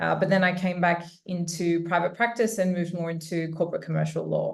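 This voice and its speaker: Someone talks at a very fast pace in an Australian accent. Audible room echo surrounds the voice. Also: woman. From Australia, Sydney. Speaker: corporate lawyer. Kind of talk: webinar panel talk.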